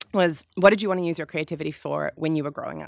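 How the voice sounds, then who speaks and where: With an unremarkable speaking voice, a woman talks at a fairly low pitch with ordinary pitch variation, recorded dry and close with no echo against a silent background. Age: 30s. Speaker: climate activist and consultancy founder. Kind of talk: casual panel chat. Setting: recording studio on the beach.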